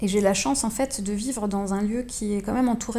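The voice is dark and mellow in tone, somewhat breathy, and moves at a fairly quick pace. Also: woman. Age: 30s. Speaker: visual artist. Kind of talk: interview. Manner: halting.

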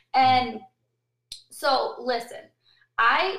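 Audible room echo surrounds a woman as she speaks. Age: 30s. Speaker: restaurant owner. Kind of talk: interview.

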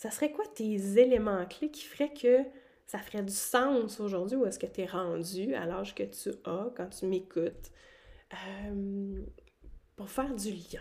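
A woman with a Quebec accent speaks at a very slow pace in a medium pitch, her loudness swinging widely, her pitch varying in an ordinary way, and long pauses coming often. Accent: Québécois French. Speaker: podcast host. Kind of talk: solo monologue podcast. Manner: casual, many hesitations.

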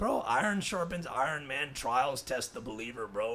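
A man's bright, sharp tone at a moderate pace. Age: 20s. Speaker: podcast co-host. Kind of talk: casual chat. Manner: animated.

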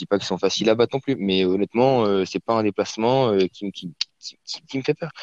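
A man with a plain, everyday voice speaks at a fairly quick pace in a medium pitch with ordinary pitch variation. The sound is dry and close, with no echo. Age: 20s. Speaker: football fan, podcast guest. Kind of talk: casual football debate.

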